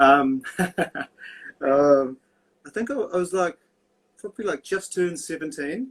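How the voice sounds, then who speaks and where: A high-pitched man talks at a fairly slow pace with lively intonation. Long, frequent pauses break up his speech. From New Zealand, Christchurch. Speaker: tattoo artist. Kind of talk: casual chat.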